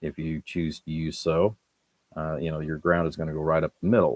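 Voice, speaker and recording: The sound is dry and close, with no echo. The speech moves at a moderate pace. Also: man. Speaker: electronics hobbyist streamer. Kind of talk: live stream workshop tutorial. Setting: home workshop at the workbench. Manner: halting, pauses mid-thought.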